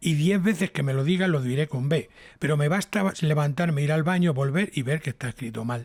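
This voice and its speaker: In a very clean recording with a silent background, a somewhat breathy man talks at a fairly quick pace, his fairly high pitch moving with ordinary variation. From Spain, Toledo. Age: 60s. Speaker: TV scriptwriter and radio broadcaster. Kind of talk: casual interview chat. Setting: home.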